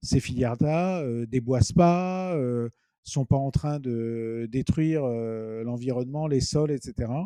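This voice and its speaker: A man's very slow, medium-pitched voice, dark and mellow in tone, with a dry, close sound and no echo. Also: ordinary pitch variation. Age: 50s. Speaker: company founder. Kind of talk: interview. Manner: halting, many hesitations and repetitions.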